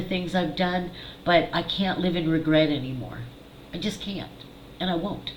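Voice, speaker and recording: A fairly low-pitched woman's voice with ordinary pitch variation, audible room echo and noticeable background noise. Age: 50s. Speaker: psychic medium and channel host. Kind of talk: personal monologue to camera. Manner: casual, candid.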